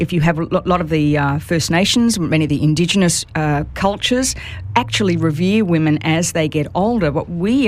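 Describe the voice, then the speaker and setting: Over noticeable background noise, a woman with an Australian accent speaks at a fairly low pitch with lively intonation. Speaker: author and speaker on women over fifty. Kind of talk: radio interview. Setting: radio studio.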